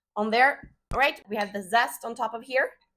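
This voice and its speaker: With a Swedish accent, a woman talks at a moderate pace. Her pitch variation is ordinary. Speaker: home cook, cooking channel host. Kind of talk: cooking tutorial. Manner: casual, frequent filler 'uh'.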